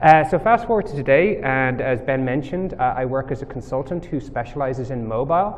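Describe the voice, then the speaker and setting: Speaking at a fairly quick pace with hardly any pauses, a man with an Irish accent uses a fairly high pitch and lively intonation over noticeable background noise. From Ireland. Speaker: mobile software developer, conference speaker. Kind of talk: tech talk presentation. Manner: casual, many filler words.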